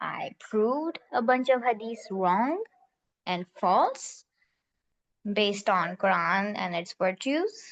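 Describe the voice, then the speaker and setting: Recorded dry and close with no echo, a woman with a Pakistani accent speaks at a very slow pace in a medium pitch. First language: Urdu. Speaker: class participant. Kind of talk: personal testimony in group discussion.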